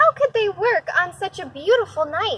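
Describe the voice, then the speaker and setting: A woman puts on a squeaky character voice at an extremely high pitch. Her pitch swings very widely while she keeps a moderate pace. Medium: read story. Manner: eager, friendly.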